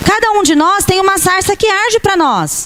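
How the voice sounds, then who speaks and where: A woman talks fairly slowly, and noticeable background noise can be heard. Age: 50s. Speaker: pastor. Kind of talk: sermon. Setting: church camp service with audience.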